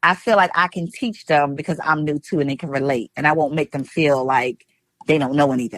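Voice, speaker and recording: In a New York accent, a woman talks at a fairly quick pace in a very deep, low voice, animated in tone with ordinary pitch variation, the sound dry and close with no echo. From New York, Brooklyn. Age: 50s. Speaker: retired police officer turned fishing influencer. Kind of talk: interview. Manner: fast.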